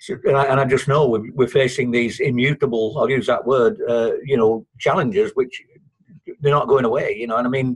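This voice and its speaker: Somewhat breathy speech moves fairly quickly, its pitch varying in an ordinary way. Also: man, medium pitch for a man. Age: 60s. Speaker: participant in an online economics discussion. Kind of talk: group discussion. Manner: halting, many repetitions and false starts.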